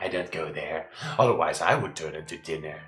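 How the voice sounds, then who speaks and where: This put-on character voice moves along at a fairly quick pace. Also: man, very deep, low pitch for a man. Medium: actual play. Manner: ponderous, humming "hmm".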